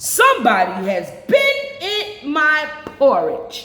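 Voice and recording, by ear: A put-on character voice, high in pitch, drags along at a very slow pace with audible echo.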